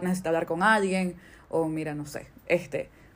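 This is a woman speaking with a Caracas accent. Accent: Venezuelan Spanish (Caracas). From Venezuela, Caracas. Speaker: cook and podcaster. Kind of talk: casual monologue.

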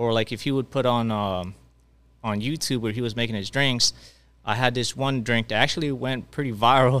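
A man speaks in a normal speaking voice with an American accent, at a medium pitch. His pace is moderate and his intonation fairly even. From Maryland, US. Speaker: mixologist and content creator. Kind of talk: casual chat. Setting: brewery.

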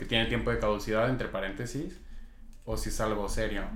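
Fairly even intonation from a male speaker, with audible room echo. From Zacatecas, Mexico. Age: 20s. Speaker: marketing professional. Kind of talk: casual chat.

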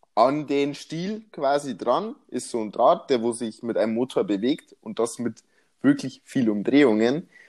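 Against a quiet background, a man talks at a fairly slow pace. His medium-pitched voice has lively intonation. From Bavaria. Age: 20s. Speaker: podcast co-host. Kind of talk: casual chat.

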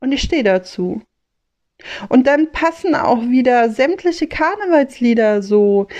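A woman speaks fairly slowly in a high pitch. Her voice swings very widely in pitch. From Rhineland, Germany. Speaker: podcast host. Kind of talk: motivational monologue.

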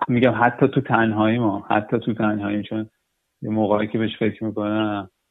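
A man's fairly low-pitched voice with monotone, flat intonation at a moderate pace. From Iran. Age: 30s. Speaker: interviewee. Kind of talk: interview.

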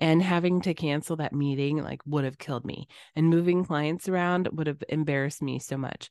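A woman's very deep, low pitch, fairly quick and with fairly even intonation, over a quiet background. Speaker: marriage coach and podcast host. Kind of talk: solo podcast monologue. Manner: casual, laughs often.

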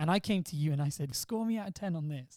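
A man's somewhat breathy voice, dry and close with no echo, on a very clean recording with a silent background. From Wales. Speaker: church worker and father of four. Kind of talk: casual chat.

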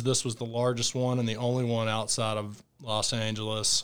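A man talks with a Southern accent. His pace is moderate. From US South, Alabama (Fairhope near Mobile). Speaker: coworking space owner. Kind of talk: casual interview.

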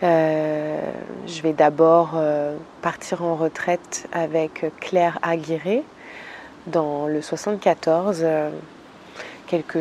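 Over noticeable background noise, a woman speaks with a fairly low pitch. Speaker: YouTuber, relaxation content creator. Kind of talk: casual vlog monologue. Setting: outdoors in a garden. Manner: hesitant, many fillers.

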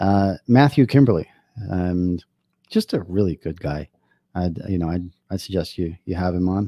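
A man's very deep, low, dark, mellow voice with a New York accent, ordinary pitch variation and a moderate pace, dry and close with no echo, in a very clean recording over a silent background. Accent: New York American. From US, New York. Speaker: business consultant. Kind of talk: interview.

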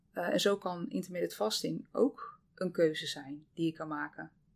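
Vocal fry shows up in this voice. Its intonation is lively. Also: woman. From Zeeland, Netherlands. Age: 30s. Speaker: dietitian. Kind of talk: casual interview.

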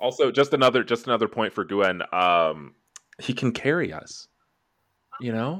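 Over a quiet background, the voice moves at a moderate pace with vocal fry, very wide pitch swings, and long, frequent pauses. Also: man, medium pitch for a man. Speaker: guest. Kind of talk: casual chat.

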